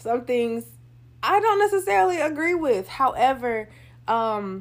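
A woman talks at a moderate pace with very wide pitch swings. The recording is very clean, with a silent background. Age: 30s. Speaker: podcast host. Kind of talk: casual monologue. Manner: casual, many filler ums.

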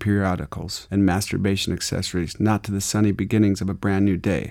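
A man with an American accent talks at a fairly quick pace in an ordinary speaking voice, fairly low in pitch. His intonation stays fairly even, and the recording is very clean with a silent background. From Arizona. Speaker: audiobook narrator reading memoir. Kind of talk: reading aloud.

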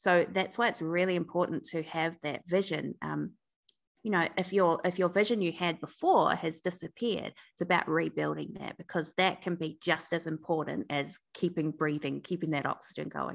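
Against a quiet background, a woman with a New Zealand accent talks at a moderate pace in a fairly low voice with vocal fry and fairly even intonation. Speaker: breakup recovery coach and founder. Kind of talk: interview conversation.

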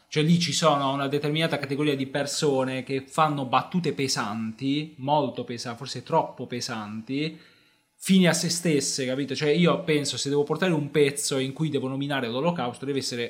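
This man's voice sits fairly high. He talks fairly quickly. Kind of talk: stand-up comedy, joking and storytelling about his own early sets. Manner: animated, punchline-driven, self-mocking, fast and conversational; emphatic, repeating lines for comic effect.

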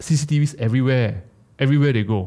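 A very clean recording with a silent background, featuring a man's fairly high-pitched voice. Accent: Malaysian. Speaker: podcast co-host. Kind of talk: casual chat.

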